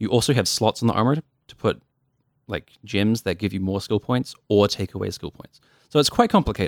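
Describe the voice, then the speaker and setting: With a New Zealand accent and a fairly low pitch, a man talks at a fairly quick pace with big swings in loudness in a dry, close sound with no echo. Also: ordinary pitch variation. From New Zealand, Dunedin (South Island). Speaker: game programmer. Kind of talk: casual chat.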